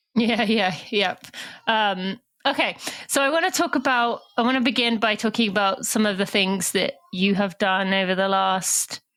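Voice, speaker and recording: A woman's fairly high voice with a British accent, very even loudness, ordinary pitch variation and a moderate pace. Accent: British accent, often taken for Australian. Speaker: podcast host. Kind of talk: interview podcast.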